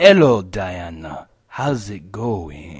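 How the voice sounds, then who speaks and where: A man uses a put-on character voice with a very deep, low pitch. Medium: audio drama. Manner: smarmy, self-satisfied.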